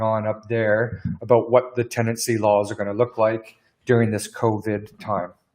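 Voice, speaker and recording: A man with a Canadian accent and medium pitch has an ordinary speaking voice, talking at a moderate pace with fairly even intonation. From Canada. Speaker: business lawyer. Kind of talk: webinar Q&A presentation. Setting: live stream webinar.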